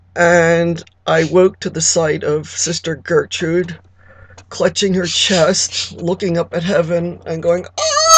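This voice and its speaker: A woman puts on a raspy character voice, fairly low in pitch, delivering it fairly slowly in a monotone, flat intonation. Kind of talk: comic monologue. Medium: solo performance. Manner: chatty, confiding, gossipy.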